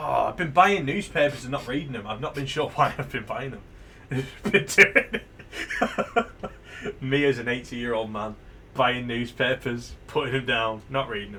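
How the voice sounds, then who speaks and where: In a British accent, a man talks at a moderate pace and medium pitch. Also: ordinary pitch variation. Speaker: video game streamer. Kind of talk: live game stream with reading aloud. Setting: live stream.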